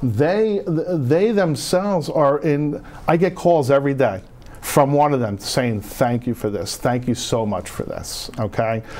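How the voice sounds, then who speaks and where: Over noticeable background noise, a man with a North Jersey accent talks at a fairly slow pace. His fairly high pitch moves in very wide swings. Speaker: veterans home care benefits adviser. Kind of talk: TV interview. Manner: animated.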